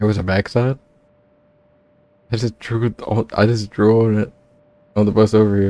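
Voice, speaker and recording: A man's dark, mellow voice, fairly low in pitch, with monotone, flat intonation and a moderate pace. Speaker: gaming YouTuber. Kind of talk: let's play commentary, reading game dialogue aloud. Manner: casual, plain own voice for characters.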